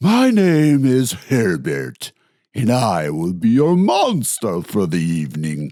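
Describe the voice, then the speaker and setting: In a put-on character voice, a man talks breathily at a medium pitch and a fairly slow pace. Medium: read story. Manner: polite, mild.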